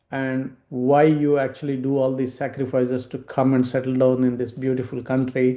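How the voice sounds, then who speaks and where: A man's medium-pitched voice, dark and mellow in tone, monotone and flat, at a moderate pace. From India. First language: Indian regional language. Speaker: financial advisor. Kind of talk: webinar talk.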